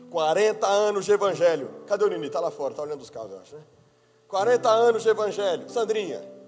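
Over music in the background, a man speaks at a fairly quick pace with big swings in loudness. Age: 30s. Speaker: pastor. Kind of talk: sermon. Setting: church.

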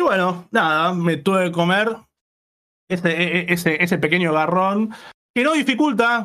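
Speaking at a high pitch, a man lets his voice rise and fall in an ordinary way. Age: 20s. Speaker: youtuber and publisher. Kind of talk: interview.

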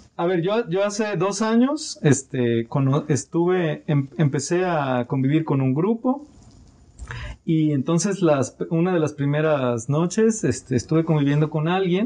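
Keeping his loudness very even, a man with a fairly high pitch speaks at a fairly slow pace with lively intonation. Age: 30s. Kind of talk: casual chat. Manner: halting, repeats words.

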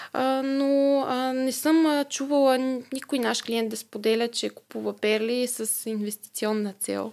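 The recording is very clean, and the background is silent. A woman talks in a high voice. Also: fairly slow pace. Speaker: family business marketing manager. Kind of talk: interview. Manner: hesitant, many filler sounds.

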